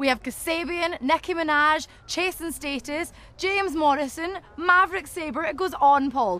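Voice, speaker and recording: In a Scottish accent, a woman speaks in a raised, projected voice at an extremely high pitch, bright, sharp and upbeat, with hardly any pauses and a dry sound with no echo. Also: ordinary pitch variation, moderate pace. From Glasgow, Scotland. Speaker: actress and presenter. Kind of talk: festival presenting to camera.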